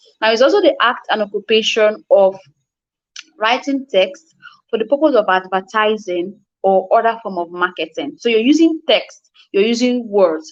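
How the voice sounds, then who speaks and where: A woman talks in a fairly high voice with ordinary pitch variation. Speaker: copywriting coach. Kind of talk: online class lecture. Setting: live online class. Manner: fast.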